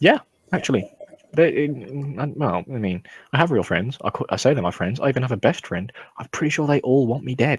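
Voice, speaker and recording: A man with a British accent speaks at a fairly quick pace with a medium pitch, lively intonation and vocal fry. Long, frequent pauses break up his speech. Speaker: podcast host. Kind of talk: casual chat. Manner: low-energy.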